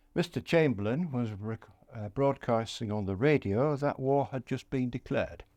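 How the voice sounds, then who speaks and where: In a Yorkshire accent, a man talks at a moderate pace in a medium pitch with a dark, mellow tone and ordinary pitch variation over a quiet background. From northern England (East Yorkshire). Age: 80s+. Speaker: war veteran. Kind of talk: interview. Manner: halting.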